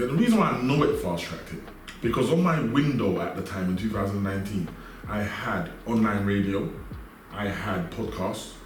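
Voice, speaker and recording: A fairly low-pitched man with a London accent, moderate pace, and noticeable background noise. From South West London. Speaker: entrepreneur. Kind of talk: interview answer.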